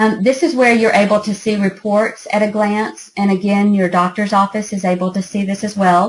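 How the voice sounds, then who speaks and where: A woman with a medium pitch and a somewhat breathy voice talks at a moderate pace with hardly any pauses and fairly even intonation. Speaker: app founder giving a product demo. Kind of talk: product demo presentation.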